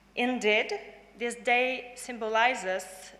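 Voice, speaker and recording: The speaker talks fairly slowly with a French accent and fairly even intonation. Room echo can be heard. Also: woman. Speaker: graduating student, valedictorian. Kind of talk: valedictory speech. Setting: graduation ceremony hall with audience. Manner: formal.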